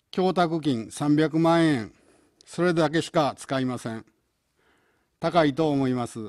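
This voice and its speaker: With ordinary pitch variation and a fairly high pitch, a man talks over a quiet background. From Osaka. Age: 70s. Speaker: gubernatorial candidate; election candidate. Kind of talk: campaign speech; political campaign broadcast statement. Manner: halting. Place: studio. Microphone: podium.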